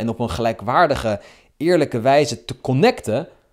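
An animated tone at a moderate pace, in a very clean recording with a silent background. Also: man. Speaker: dating coach vlogger. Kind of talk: angry rant. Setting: screen recording of app. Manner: indignant, sarcastic.

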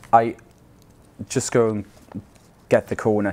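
A man speaks with a Swiss accent. His pitch is fairly low. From Switzerland. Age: 40s. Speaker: churchgoer sharing faith story; guest. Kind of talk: testimony. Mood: warm, reflective. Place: hall.

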